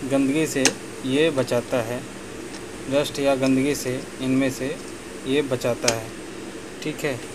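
Slow speech with fairly even intonation comes through clear background noise. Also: man.

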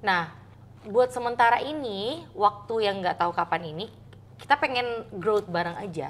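Her intonation is lively. The woman's pitch sits in the medium range. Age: 30s. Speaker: content creator. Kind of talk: casual chat. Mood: warm, earnest. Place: home room.

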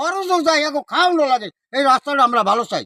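Raising and projecting his voice, a man speaks at an extremely high pitch with a bright, sharp tone. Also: dry, close sound with no echo. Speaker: local resident. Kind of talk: street interview. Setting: outdoors.

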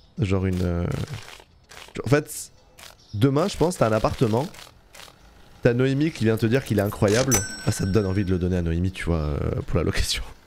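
A man talks at a fairly quick pace with lively intonation, leaving long, frequent pauses. Background noise is noticeable. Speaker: Twitch streamer, gamer. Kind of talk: casual live-stream gaming chat. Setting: live stream, home. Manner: casual, slangy, chatty with viewers.

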